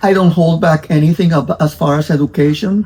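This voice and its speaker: A woman speaks with fairly even intonation. Noticeable background noise runs behind her. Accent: Spanish. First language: Spanish. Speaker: dog breeder. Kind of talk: interview-style explanation. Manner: halting, many fillers and repetitions.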